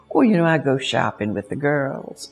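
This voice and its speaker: Music plays in the background as a woman talks at a moderate pace. Her pitch swings very widely. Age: 80s+. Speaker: founder of a family planning organization. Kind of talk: interview answer.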